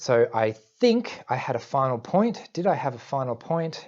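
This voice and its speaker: A plain, everyday voice from a man at medium pitch and a fairly slow pace. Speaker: YouTuber discussing Asperger's syndrome. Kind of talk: casual vlog monologue.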